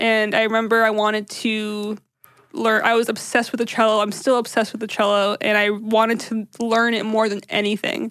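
A woman speaks fairly quickly with a fairly high pitch. Her intonation is monotone and flat over a quiet background. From US, Syrian immigrant family. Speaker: podcast host. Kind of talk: casual chat.

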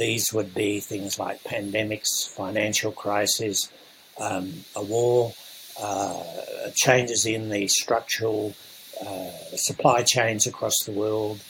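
Over noticeable background noise, a man speaks very slowly in a fairly low pitch with monotone, flat intonation. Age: 80s+. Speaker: entrepreneur and mentor. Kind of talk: podcast interview.

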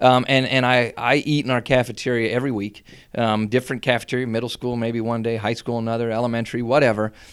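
A man with an American accent talks at a very fast pace and medium pitch, with hardly any pauses. The recording is very clean, the background silent. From Schuylkill County coal region, Pennsylvania. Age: 40s. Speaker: school superintendent. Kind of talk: casual interview. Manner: enthusiastic.

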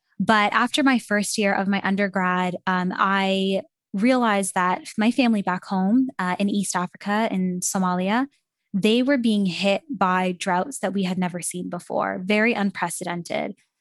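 Speaking at a moderate pace in an unremarkable speaking voice, a woman keeps a medium pitch with ordinary variation, and the sound is dry and close with no echo. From Canada. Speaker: carbon removal policy expert. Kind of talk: interview.

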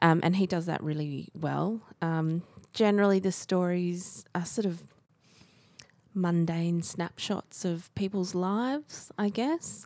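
Speaking very slowly with an Australian accent, a woman uses a fairly low pitch and ordinary pitch variation. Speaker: library podcast co-host. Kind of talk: casual book discussion.

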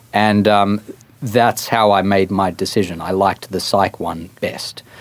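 The speaker is a man with a fairly low pitch. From Australia. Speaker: marketing professor and author. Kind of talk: interview.

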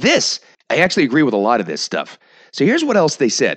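Against a quiet background with a dry, close sound and no echo, a man speaks in an animated tone with very wide pitch swings and vocal fry. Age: 40s. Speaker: podcast host and morning radio host. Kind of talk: casual monologue.

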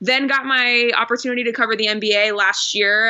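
Noticeable background noise accompanies a woman talking at a moderate pace in an American accent. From Phoenix, Arizona. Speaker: sports journalist. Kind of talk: interview.

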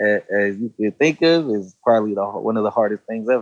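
A man with an American accent talks at a fairly quick pace in a normal speaking voice, medium in pitch with ordinary pitch variation. The recording is dry and close, with no echo. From Los Angeles, East Hollywood. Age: 20s. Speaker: rapper. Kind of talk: casual interview.

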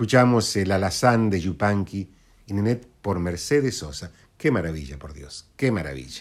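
A man speaks at a moderate pace in a fairly low voice with very wide pitch swings, on a very clean recording with a silent background. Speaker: radio host. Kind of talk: radio presentation.

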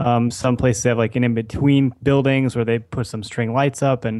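In an Upper Midwest accent, a man talks fairly quickly at a medium pitch with monotone, flat intonation. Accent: Upper Midwest American. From US Midwest, Wisconsin. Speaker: podcast co-host. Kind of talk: casual chat.

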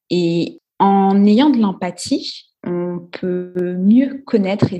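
Against a quiet background, a woman speaks in a somewhat breathy, dark, mellow voice of medium pitch with ordinary pitch variation. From Guadeloupe. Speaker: entrepreneur and investor. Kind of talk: podcast interview.

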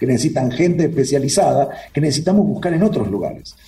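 Amid noticeable background noise and audible room echo, a man speaks with lively intonation. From Uruguay. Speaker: cybersecurity expert. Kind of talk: interview conversation.

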